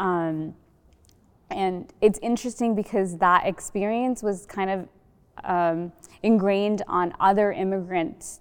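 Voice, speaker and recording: A woman speaks in a plain, everyday voice at a fairly slow pace. The background is quiet. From Sri Lanka, raised in US South. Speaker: startup incubator director, panelist. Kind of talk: panel discussion. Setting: library reading room, filmed.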